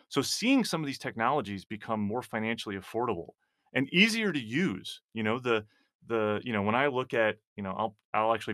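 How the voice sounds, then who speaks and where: This man has a plain, everyday voice. It sits at a medium pitch and moves with ordinary pitch variation. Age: 40s. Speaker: cybersecurity executive and former army IT specialist. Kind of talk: interview.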